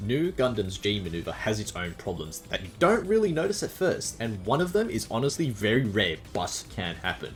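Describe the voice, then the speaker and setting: Music plays behind a man with an Australian accent who speaks at a moderate pace with hardly any pauses, his fairly low pitch making very wide swings. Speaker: gaming guide contributor. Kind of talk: scripted narration.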